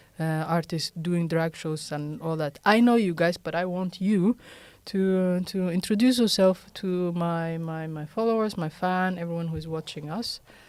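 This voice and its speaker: On a very clean recording with a silent background, a speaker with a non-native accent talks at a moderate pace. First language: not English. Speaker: podcast host. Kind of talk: casual chat. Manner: halting.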